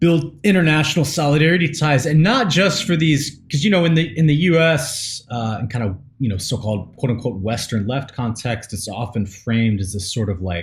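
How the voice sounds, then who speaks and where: A man's voice comes across as somewhat breathy. He speaks at a moderate pace with lively intonation. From US South, East Tennessee / Nashville. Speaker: podcast co-host. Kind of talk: casual chat. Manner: halting, many fillers.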